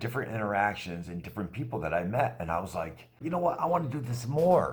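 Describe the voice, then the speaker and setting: The man's voice is somewhat breathy. It swings very widely in pitch. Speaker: voice actor and motivational speaker; quadriplegic man with a spinal cord injury. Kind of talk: casual motivational talk to camera. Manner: upbeat, sincere, conversational.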